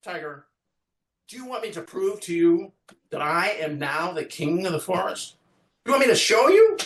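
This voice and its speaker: A man uses a put-on character voice pitched high. He leaves long, frequent pauses. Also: moderate pace. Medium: read story. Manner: sly, bold, coaxing.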